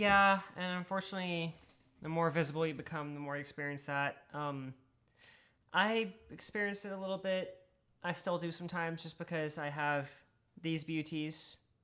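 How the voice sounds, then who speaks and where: The speaker has an American accent and a moderate pace, on a very clean recording with a silent background. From US South. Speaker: streamer. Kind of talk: casual chat. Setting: live stream.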